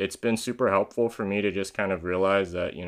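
Fairly quick and fairly even in intonation, a man with a Californian accent speaks at a very deep, low pitch. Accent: Californian American. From San Diego, California. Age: 20s. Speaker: YouTuber and music industry manager. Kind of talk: casual monologue video podcast.

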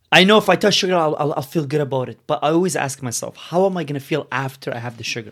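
Speaking at a very fast pace, a man uses a fairly high voice with ordinary pitch variation. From Yemen. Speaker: guest, realtor and mortgage broker. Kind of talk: casual conversational interview.

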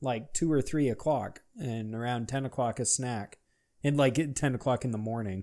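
A man talks at a moderate pace and medium pitch with ordinary pitch variation. He has an unremarkable speaking voice, on a very clean recording with a silent background. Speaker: podcast co-host. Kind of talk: casual chat.

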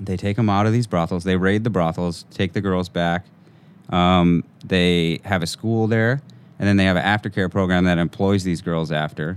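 Using a very deep, low pitch, a man speaks at a moderate pace with fairly even intonation and very even loudness. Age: 20s. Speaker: artist and gallery owner. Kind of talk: interview. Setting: studio.

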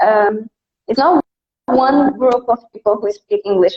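Lively in intonation and high in pitch, a woman with a Brazilian accent talks at a moderate pace. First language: Portuguese. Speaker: English conversation teacher. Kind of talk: casual interview on live stream.

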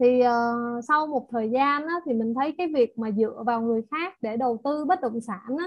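A high-pitched woman at a moderate pace, with hardly any pauses and ordinary pitch variation. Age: 30s. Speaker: real estate salesperson and investor. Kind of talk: personal testimony in group discussion.

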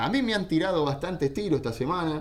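A man talks in an animated tone, with audible room echo around him. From Argentina. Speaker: football radio show host and analyst. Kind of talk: casual sports talk radio. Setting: radio studio, live.

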